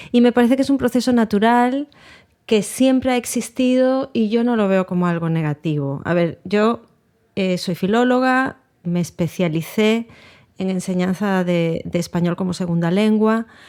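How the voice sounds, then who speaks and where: On a very clean recording with a silent background, a woman with a dark, mellow tone speaks at a medium pitch and a moderate pace with lively intonation. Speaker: poet. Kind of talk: interview. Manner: halting.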